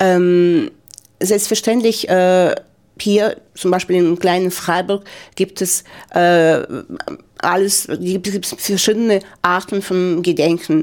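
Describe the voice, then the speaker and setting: In a very clean recording with a silent background, a woman speaks at a very slow pace and medium pitch, with fairly even intonation and long, frequent pauses. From Ukraine, Donetsk. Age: 50s. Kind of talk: interview. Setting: studio. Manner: halting.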